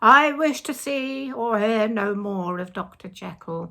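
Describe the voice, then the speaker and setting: Using a put-on character voice, a female-sounding speaker talks in a raised, projected, shaky way at a fairly slow pace and a fairly high pitch. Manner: loud and agitated.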